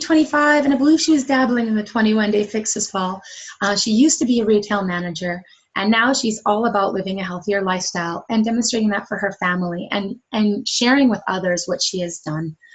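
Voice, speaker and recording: A woman speaks fairly quickly with lively intonation and a fairly high pitch. Her voice is somewhat breathy. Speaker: fitness coach. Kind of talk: webinar presentation. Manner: fast; animated.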